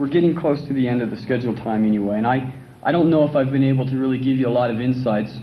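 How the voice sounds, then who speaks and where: Speaking at a very fast pace, a man has a medium pitch and ordinary pitch variation. Audible room echo surrounds his voice. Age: 30s. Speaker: patient speaker. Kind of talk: talk to an audience. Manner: halting.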